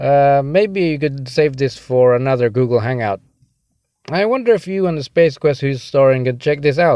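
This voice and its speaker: Fairly high in pitch, this man has a normal speaking voice and talks at a moderate pace with ordinary pitch variation. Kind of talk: voicemail message. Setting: phone voicemail.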